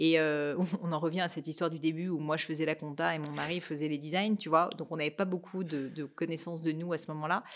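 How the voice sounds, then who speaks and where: On a very clean recording with a silent background, a woman with a very deep, low pitch speaks at a very fast pace with monotone, flat intonation. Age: 30s. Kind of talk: casual interview.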